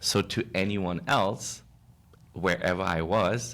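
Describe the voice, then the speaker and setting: Speaking fairly slowly with a German accent, a man uses a very deep, low voice with vocal fry on a very clean recording with a silent background. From Germany. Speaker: social media creator. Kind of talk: interview.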